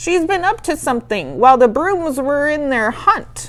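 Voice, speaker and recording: Doing a put-on character voice, a woman speaks at a high pitch and a moderate pace. Light background noise can be heard. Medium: read story.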